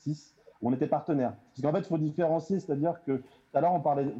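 A man's dark, mellow tone at a moderate pace. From Île-de-France, Melun. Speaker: youth worker. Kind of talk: panel discussion. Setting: video call.

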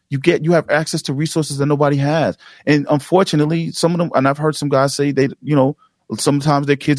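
A very fast man's voice in a New York accent, fairly high in pitch and fairly even in intonation, with a dry, close sound, no echo, and a very clean recording with a silent background. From New York City (Jamaica, Queens). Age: 40s. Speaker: podcast producer and association founder. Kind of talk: casual interview.

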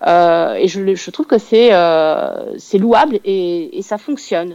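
At a very slow pace, a woman speaks with a dark, mellow tone, medium pitch and ordinary pitch variation. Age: 40s. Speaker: crime novelist. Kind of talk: radio interview. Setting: phone call.

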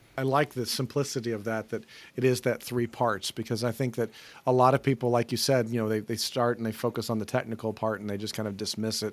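A man with an American accent speaks at a very fast pace and medium pitch, keeping a fairly even intonation, on a very clean recording with a silent background. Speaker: podcast co-host. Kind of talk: casual chat.

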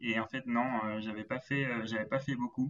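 A man's voice with fairly even intonation. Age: 20s. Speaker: logistics manager and amateur runner. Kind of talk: interview. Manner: halting.

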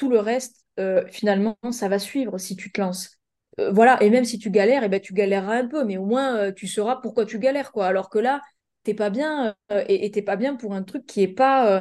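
Her tone is dark and mellow, her pitch fairly high for a woman. She moves at a moderate pace with ordinary pitch variation. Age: 20s. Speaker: life coach and business mentor. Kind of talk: casual chat.

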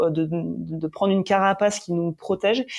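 A woman speaks at a medium pitch in a dark, mellow tone with fairly even intonation. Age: 30s. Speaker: entrepreneur. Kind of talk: interview. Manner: halting.

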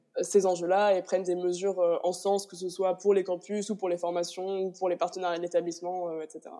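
A woman with a dark, mellow tone speaks at medium pitch and a fairly quick pace, her intonation monotone and flat. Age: 20s. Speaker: student association president. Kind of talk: interview.

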